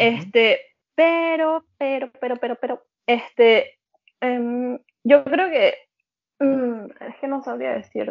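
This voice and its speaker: This woman's pitch is high, with ordinary variation. She speaks with a Venezuelan accent. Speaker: emigrant guest. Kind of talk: casual interview chat.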